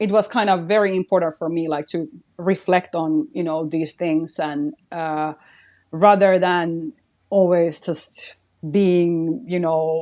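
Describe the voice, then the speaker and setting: Against a quiet background, a woman with a Finnish accent speaks at a very slow pace, her fairly low voice dark and mellow and her intonation fairly even. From Finland. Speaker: radio host and creator. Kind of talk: casual interview chat.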